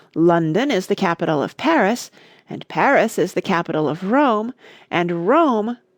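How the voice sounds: The reading voice is natural and carries lively intonation.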